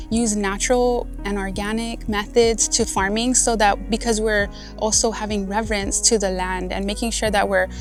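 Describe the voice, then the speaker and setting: A woman with a Guamanian accent speaks with hardly any pauses while music plays in the background. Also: moderate pace. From Guam (Malesso'). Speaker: farmer, farm manager. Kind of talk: interview answer.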